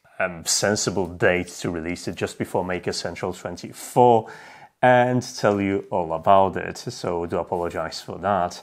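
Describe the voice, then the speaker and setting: Against a quiet background, a man speaks with a very deep, low pitch and ordinary pitch variation. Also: fairly slow pace. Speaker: tech video creator. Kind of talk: casual vlog chat. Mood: apologetic, upbeat. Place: home room.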